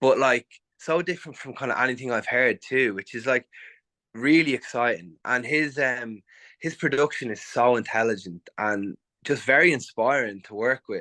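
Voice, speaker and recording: A man's medium-pitched voice, bright and sharp in tone, at a moderate pace with ordinary pitch variation and a dry, close sound with no echo. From Ireland. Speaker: musician. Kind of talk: interview. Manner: animated.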